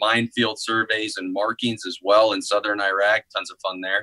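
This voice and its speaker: Behind this voice, things are quiet. It belongs to a man with an American accent. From Northeast Missouri, US Midwest. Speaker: army medical recruiter. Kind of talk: interview. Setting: video call. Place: office. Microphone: video call.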